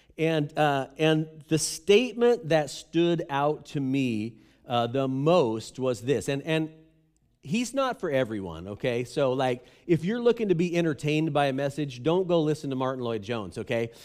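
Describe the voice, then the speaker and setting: Fairly high-pitched and lively in intonation, a man speaks at a fairly slow pace with a plain, everyday voice. The recording is very clean, with a silent background. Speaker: pastor. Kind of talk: sermon. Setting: church. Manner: casual, conversational.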